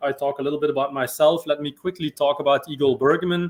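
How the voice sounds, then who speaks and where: Fairly high in pitch, a man speaks with fairly even intonation in a Belgian accent. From Belgium. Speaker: sales and marketing executive. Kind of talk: interview.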